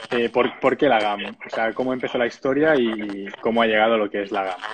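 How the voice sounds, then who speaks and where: Noticeable background noise accompanies a man talking at a medium pitch and a moderate pace. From Catalonia, Spain (Sabadell). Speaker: webinar host. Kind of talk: interview.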